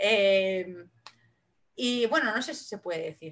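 A woman speaks in a bright, sharp tone. She has a Valencian accent. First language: Valencian Catalan (speaking Spanish). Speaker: singer-songwriter. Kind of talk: casual interview.

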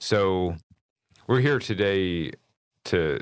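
A man's lively intonation and vocal fry on a very clean recording with a silent background. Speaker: podcast host and company employee. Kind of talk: casual interview.

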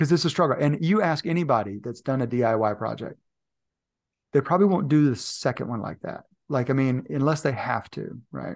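A man with a fairly high pitch and some vocal fry talks at a fairly quick pace against a quiet background. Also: lively intonation. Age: 40s. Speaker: leadership and performance coach. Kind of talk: casual chat.

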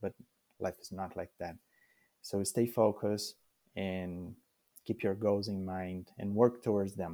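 A man with a Brazilian accent, a fairly low pitch, a dark, mellow tone, monotone, flat intonation and long, frequent pauses, in a very clean, dry recording with a silent background and no echo. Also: fairly slow pace. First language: Portuguese. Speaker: immigrant sharing life story. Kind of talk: interview. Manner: halting, many fillers.

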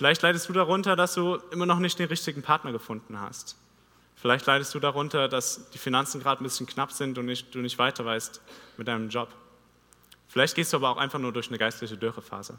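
Talking at a very fast pace, a man uses a bright, sharp tone. His pitch is fairly high, with ordinary pitch variation. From Vogtland, Saxony, Germany. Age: 20s. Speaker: theology student preacher. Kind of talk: sermon. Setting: church stage.

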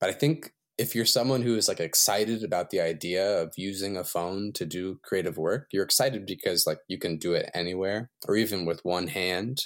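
In an American accent, a man with an ordinary speaking voice talks at a fairly quick pace with hardly any pauses, using a fairly low pitch and ordinary pitch variation, on a very clean recording with a silent background. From US South, Shenandoah Valley, Virginia. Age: 20s. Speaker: visual artist. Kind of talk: casual chat.

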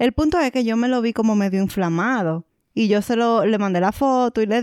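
A woman with a normal speaking voice talks at a fairly quick pace, fairly high in pitch with lively intonation. The recording is very clean, with a silent background and a dry, close sound with no echo. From Dominican Republic. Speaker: podcast co-host. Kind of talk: casual chat.

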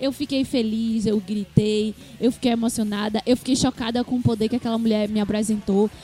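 A fairly quick pace, with noticeable background noise underneath. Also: woman. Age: 20s. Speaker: podcast co-host. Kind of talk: casual chat.

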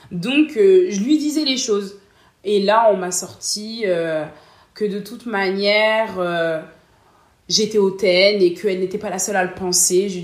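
A woman with a normal speaking voice at medium pitch, ordinary pitch variation, a fairly slow pace and big swings in loudness. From northern France, Lille. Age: 20s. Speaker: customer service worker. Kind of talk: interview. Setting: at her home.

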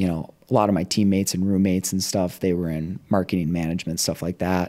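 A man with a very deep, low, dark and mellow voice talks at a fairly quick pace with fairly even intonation in a very clean recording with a silent background. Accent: American. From Minnesota. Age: 20s. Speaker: CrossFit strength and conditioning coach. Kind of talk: casual interview chat. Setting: studio.

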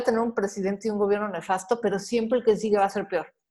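A woman's fairly even intonation carries speech delivered at a very fast pace. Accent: Mexican. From Mexico. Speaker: personal finance advisor and podcaster. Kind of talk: casual interview conversation.

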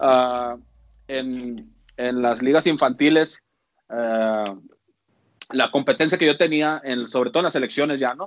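A man with medium pitch and ordinary pitch variation speaks at a fairly slow pace. Long, frequent pauses break up his speech. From Mexico, Mexicali (Baja California). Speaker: former professional baseball pitcher. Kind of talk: casual chat.

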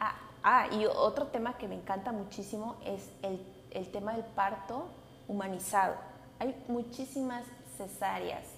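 Speaking at a fairly slow pace with long, frequent pauses, a woman uses ordinary pitch variation while audible room echo surrounds her voice. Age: 20s. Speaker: podcast host, educational psychologist. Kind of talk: casual monologue. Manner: halting.

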